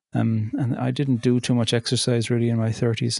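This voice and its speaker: A man with a Cork accent, medium-pitched and flat in a monotone, talking at a fairly quick pace against a quiet background. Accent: Cork Irish. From Ireland, County Cork. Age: 40s. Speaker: poet and theologian. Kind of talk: interview.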